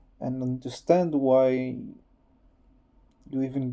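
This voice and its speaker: A man's dark, mellow, medium-pitched voice with a non-native accent, at a very slow pace. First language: not English. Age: 30s. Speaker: vlogger. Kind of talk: personal testimony. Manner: halting.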